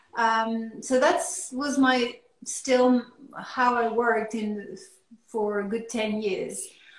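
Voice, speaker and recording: A woman with a French accent speaks very slowly at a fairly high pitch, with ordinary pitch variation and long, frequent pauses, against a quiet background with audible room echo. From France. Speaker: artist. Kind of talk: interview. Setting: video call. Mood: relaxed, reflective. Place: home room. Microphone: video call.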